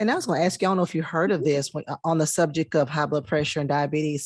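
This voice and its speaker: A woman with an American accent, a very deep, low pitch, ordinary pitch variation, and a dry, close sound with no echo. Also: quiet background. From US South. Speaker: talk show host. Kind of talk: interview.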